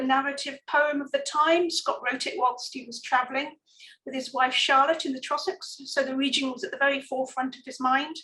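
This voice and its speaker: With an English accent, a woman projects a raised, high-pitched voice of bright, sharp tone, her loudness swinging widely. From England. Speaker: archaeologist. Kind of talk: lecture. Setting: online talk.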